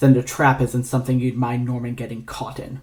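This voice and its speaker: A man's put-on character voice, growling at a medium pitch and a fairly quick pace, with monotone, flat intonation and big swings in loudness. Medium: read story. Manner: low, terse, commanding.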